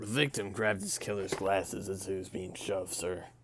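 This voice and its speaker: A man puts on a character voice that is raspy and fairly low in pitch. He moves at a fairly quick pace with fairly even intonation. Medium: game stream. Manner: deferential, says sir constantly.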